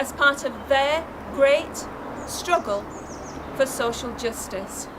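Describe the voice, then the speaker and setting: At a very slow pace, a woman with a high pitch speaks with ordinary pitch variation over noticeable background noise. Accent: South Yorkshire. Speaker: anti-austerity campaigner. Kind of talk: campaign video address. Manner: formal.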